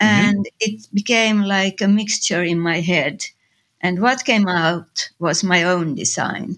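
With a Finnish accent, a woman speaks at a fairly slow pace. Her pitch is medium, with ordinary variation. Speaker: designer and photographer. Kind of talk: interview. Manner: halting.

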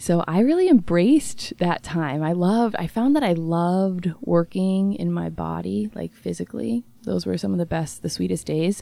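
An American-accented woman speaks at a moderate pace with hardly any pauses. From west-central Indiana, US Midwest. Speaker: yoga teacher and community manager. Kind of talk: casual chat.

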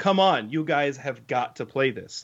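A man with a fairly high pitch speaks in a normal speaking voice with lively intonation. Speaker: podcast co-host, camp worker. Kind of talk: casual chat.

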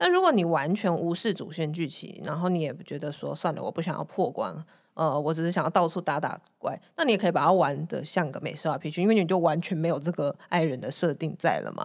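In a very clean recording with a silent background, a woman with an ordinary speaking voice talks fairly quickly at a fairly low pitch. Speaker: podcast co-host. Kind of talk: casual chat.

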